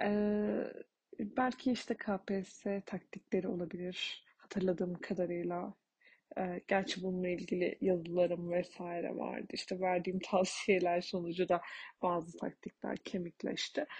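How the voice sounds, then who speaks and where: At a fairly slow pace, a woman talks in a somewhat breathy voice with ordinary pitch variation. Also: medium pitch for a woman. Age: 20s. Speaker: podcaster, airport aviation information specialist and psychology student. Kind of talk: solo podcast monologue. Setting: late-night solo recording. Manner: hesitant, many fillers.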